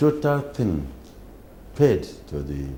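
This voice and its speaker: In a dark, mellow tone, a man speaks with vocal fry and very wide pitch swings. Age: 80s+. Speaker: former police commission chairman. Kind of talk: interview answer.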